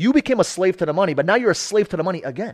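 The voice is loud and animated, with very wide pitch swings and an American accent. The recording is very clean, with a silent background and a dry, close sound with no echo. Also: man. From New York. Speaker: marketing entrepreneur. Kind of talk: casual interview. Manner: loud, intense.

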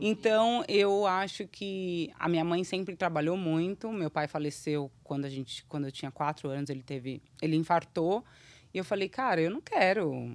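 On a very clean recording with a silent background, a woman with a fairly low pitch and an ordinary speaking voice talks at a moderate pace with ordinary pitch variation. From Brazil. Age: 30s. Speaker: children's YouTube creator. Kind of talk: casual interview chat.

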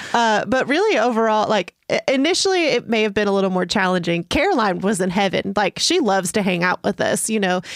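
Fairly quick delivery with lively intonation and very even loudness, dry and close with no echo, over noticeable background noise. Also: woman, fairly high pitch for a woman. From East Tennessee. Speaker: full-time overlander and YouTuber. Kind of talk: casual interview.

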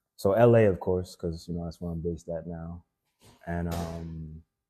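A man talks at a moderate pace with a very deep, low voice. His tone is dark and mellow. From Haiti, raised in Florida. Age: 20s. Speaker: actor. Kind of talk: casual chat.

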